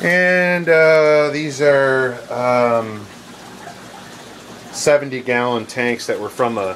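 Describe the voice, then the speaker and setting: Against noticeable background noise, a man speaks very slowly at a medium pitch with ordinary pitch variation and long, frequent pauses. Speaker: fish hobbyist. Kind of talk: home tour walkthrough. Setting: basement fish room. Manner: casual with many fillers.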